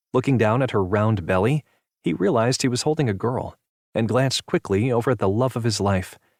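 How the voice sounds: The background is quiet. The speaker uses a natural reading voice with ordinary pitch variation.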